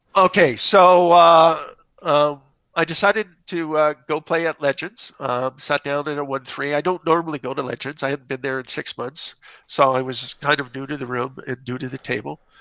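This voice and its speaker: A bright, sharp tone with a slight Canadian accent, dry and close with no echo, at a moderate pace with ordinary pitch variation over a quiet background. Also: man, fairly high pitch for a man. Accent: slight Canadian twang. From Canada. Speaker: poker player, caller. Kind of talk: hand discussion.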